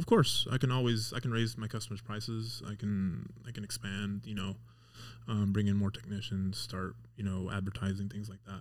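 An unremarkable speaking voice belongs to a man with an American accent, fairly low pitch and fairly even intonation. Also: moderate pace. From Las Vegas, US. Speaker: auto mechanic. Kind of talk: casual chat.

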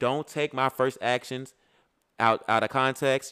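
An animated man with an American accent talks with ordinary pitch variation, the sound dry and close with no echo on a very clean recording with a silent background. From US South, Birmingham, Alabama. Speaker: podcast co-host. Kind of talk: casual chat.

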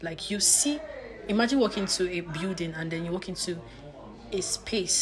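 A woman speaks at a moderate pace with a medium pitch. Noticeable background noise runs behind her. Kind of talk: casual chat.

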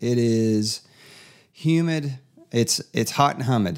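A man speaks in an Appalachian Tennessee accent with ordinary pitch variation. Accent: Southern US (Appalachian Tennessee). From East Tennessee. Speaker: podcast host. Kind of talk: casual chat.

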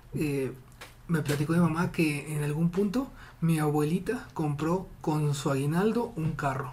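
Fairly slow speech, noticeable background noise behind it. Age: 20s. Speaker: podcast guest. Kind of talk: casual chat.

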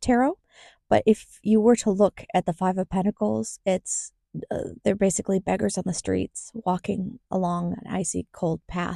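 A woman's voice at a moderate pace, very clean with a silent background, dry and close with no echo. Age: 30s. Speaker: podcast host. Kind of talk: solo podcast monologue; reading aloud.

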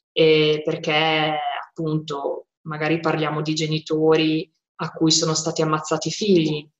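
A woman speaks at a very slow pace in a very deep, low voice. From Modena, northern Italy. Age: 30s. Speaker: peace volunteer. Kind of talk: testimony.

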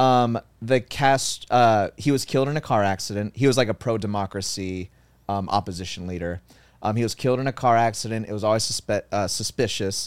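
A man with a plain, everyday voice and ordinary pitch variation, on a very clean recording with a silent background. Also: fairly low pitch for a man, fairly quick pace. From Cuban-American family. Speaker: podcast co-host. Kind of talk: reading news headlines; casual chat.

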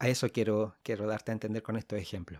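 Recorded very cleanly against a silent background, a man with a Chilean accent has a dry, close sound with no echo. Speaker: podcast host.

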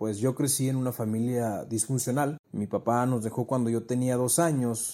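This man has a dark, mellow tone at a medium pitch, with fairly even intonation. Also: moderate pace. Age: 20s. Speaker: podcast host. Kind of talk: personal monologue. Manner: conversational.

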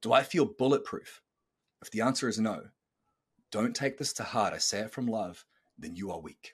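Over a very clean recording with a silent background, a man at medium pitch speaks with long, frequent pauses and big swings in loudness. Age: 30s. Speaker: podcast host and coach. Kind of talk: pep talk. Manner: intense, emphatic, preaching; fast, punchy, motivational.

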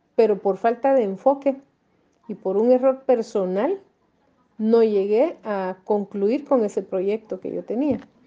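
With a plain, everyday voice, a woman speaks at a fairly high pitch and a fairly slow pace, using ordinary pitch variation. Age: 50s. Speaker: mother interviewee. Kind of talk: interview testimony.

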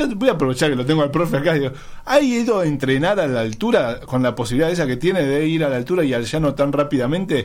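Very fast talk from a man with a fairly high pitch and lively intonation. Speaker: radio host. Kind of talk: casual chat.

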